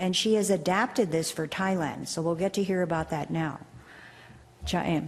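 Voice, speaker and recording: A woman with a plain, everyday voice talks at a moderate pace in a fairly low pitch with ordinary pitch variation. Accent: American. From USA. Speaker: professor and panel chair. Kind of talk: panel introduction. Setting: conference stage with audience.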